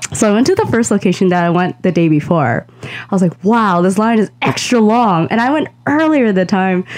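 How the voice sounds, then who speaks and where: Using an ordinary speaking voice, a woman talks at a moderate pace with a medium pitch, lively intonation and hardly any pauses. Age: 20s. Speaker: podcast co-host. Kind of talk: casual chat.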